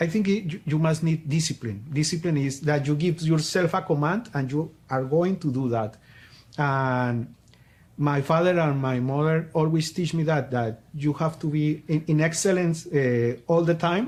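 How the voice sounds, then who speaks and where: A man with a Colombian accent at a fairly high pitch and moderate pace, with ordinary pitch variation and very even loudness, on a very clean recording against a silent background. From Colombia, Popayán. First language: Spanish. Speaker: business coach. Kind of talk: interview. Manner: halting.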